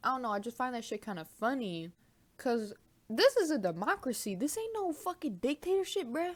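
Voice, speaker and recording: The voice carries an animated tone, with very wide pitch swings. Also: woman. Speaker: vlogger. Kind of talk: casual vlog chat, eating on camera.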